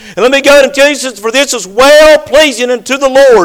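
Talking at a fairly quick pace with ordinary pitch variation, a man is heard over noticeable background noise. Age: 50s. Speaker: pastor. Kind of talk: sermon.

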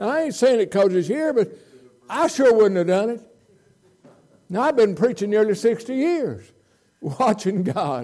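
A man with a Southern US accent speaks at a moderate pace in a high, dark, mellow voice. His pitch swings are very wide, and he takes long, frequent pauses. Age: 80s+. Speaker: visiting preacher. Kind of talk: sermon. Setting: church. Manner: animated.

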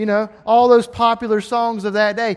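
A man with an extremely high pitch and an Alabama accent, at a moderate pace. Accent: Southern US (Alabama). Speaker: preacher. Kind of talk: sermon. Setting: church. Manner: animated.

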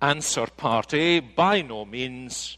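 Recorded very cleanly against a silent background, a man with a Scottish accent speaks in a bright, sharp tone. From Scotland. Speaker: pastor. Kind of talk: sermon. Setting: church.

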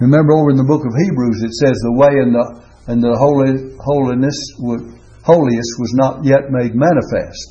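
The man is somewhat breathy, with a medium pitch. His intonation stays fairly even. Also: moderate pace. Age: 80s+. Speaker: preacher. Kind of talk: sermon. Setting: church.

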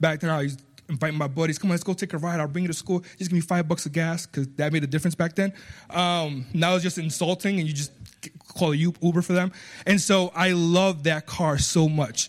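A man talks with a slight Spanish accent and a high pitch. His pace is fairly quick and his intonation fairly even. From Puerto Rico. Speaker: guest preacher. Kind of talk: sermon. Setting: church.

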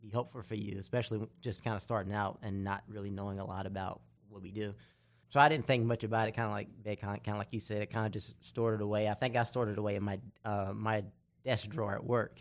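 A man with an American accent and a fairly low pitch, talking at a very fast pace against a quiet background. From South Carolina (small town). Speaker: pastoral intern. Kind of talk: casual chat.

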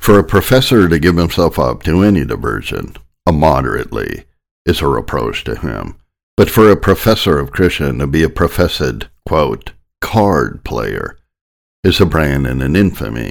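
Very deep and low, this man's voice has vocal fry and very wide pitch swings, with an American accent. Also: moderate pace. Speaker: sermon narrator. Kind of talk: sermon audiobook reading, solemn reading of old Puritan text. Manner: measured, formal, steady reading pace.

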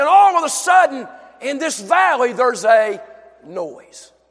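Taking a fairly slow pace, the man lets his pitch swing very widely. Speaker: preacher. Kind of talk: sermon. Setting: church. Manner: animated; warm and folksy.

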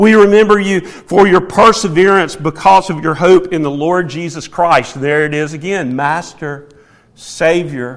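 A man with a Southern US accent and lively intonation, against noticeable background noise. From US South. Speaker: preacher. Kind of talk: sermon.

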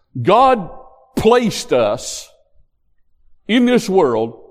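A man speaks with very wide swings in pitch. Room echo is audible around him. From West Virginia. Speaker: pastor. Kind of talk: sermon.

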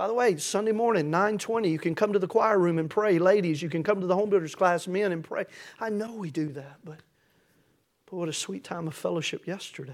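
In a Tennessee accent, a man talks at a fairly quick pace with a high pitch and ordinary pitch variation. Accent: Southern US (Tennessee). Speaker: pastor. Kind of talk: sermon. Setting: church.

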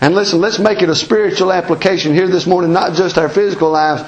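Through noticeable background noise, a man with an Appalachian accent talks fairly quickly at a high pitch. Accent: Southern Appalachian US. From US Appalachian mountains. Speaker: preacher. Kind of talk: sermon. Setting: church. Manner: informal, folksy, plainspoken.

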